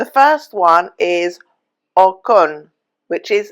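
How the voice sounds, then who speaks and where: Speaking at a very slow pace, a woman with an English accent has a fairly low pitch and very wide pitch swings. The recording is very clean, with a silent background. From England. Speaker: travel vlogger. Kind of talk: casual vlog tutorial.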